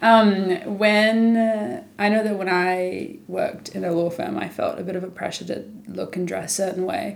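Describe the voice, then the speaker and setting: This woman speaks with a New Zealand accent. She leaves hardly any pauses. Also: moderate pace. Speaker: podcast host. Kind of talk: casual interview chat.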